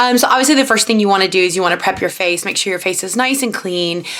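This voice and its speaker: A woman's voice amid noticeable background noise. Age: 30s. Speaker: reality TV contestant turned vlogger. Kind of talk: tutorial. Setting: bedroom vanity at home. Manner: casual, chatty.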